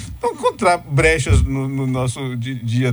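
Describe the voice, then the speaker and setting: This man has a somewhat breathy, medium-pitched voice and talks at a moderate pace. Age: 50s. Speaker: professor and writer. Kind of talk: radio interview.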